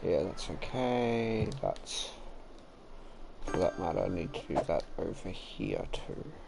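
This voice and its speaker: A man at a very slow pace, with audible room echo. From Australia. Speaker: game streamer. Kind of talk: live gameplay commentary. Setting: live stream. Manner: casual, thinking aloud.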